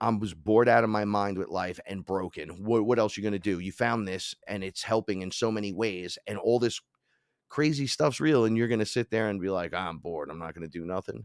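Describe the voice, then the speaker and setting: A fairly quick pace in a New York accent, with ordinary pitch variation and a dry, close sound with no echo, on a very clean recording against a silent background. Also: man, fairly low pitch for a man. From New York, the Bronx. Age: 40s. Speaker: shaman and hip-hop musician. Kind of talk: storytelling interview.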